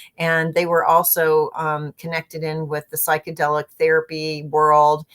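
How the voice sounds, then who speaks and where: The speech comes at a moderate pace in a monotone, flat intonation. The sound is dry and close, with no echo. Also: woman, very deep, low pitch for a woman. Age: 60s. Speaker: mindfulness and intuition teacher. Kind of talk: casual interview chat.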